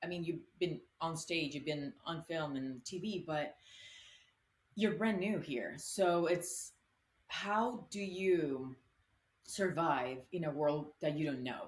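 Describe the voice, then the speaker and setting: A woman's fairly low voice with a Spanish accent, very slow pace, ordinary pitch variation, and long, frequent pauses. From Colombia. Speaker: actress. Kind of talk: interview answer.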